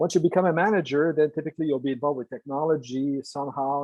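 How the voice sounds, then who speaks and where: A man talks very fast in a Quebec accent. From Quebec, Canada. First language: French. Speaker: engineer and entrepreneur. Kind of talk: lecture. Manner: halting, many fillers.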